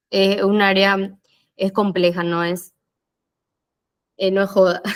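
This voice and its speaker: Speaking at a very slow pace, a woman uses monotone, flat intonation at a medium pitch. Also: long, frequent pauses. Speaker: physiotherapist. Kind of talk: lecture.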